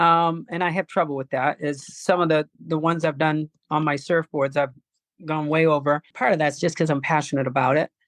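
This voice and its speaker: A woman speaks at a fairly quick pace with a very deep, low pitch and fairly even intonation. The sound is dry and close with no echo, and the background is quiet. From New England. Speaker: surfer. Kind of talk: interview answer.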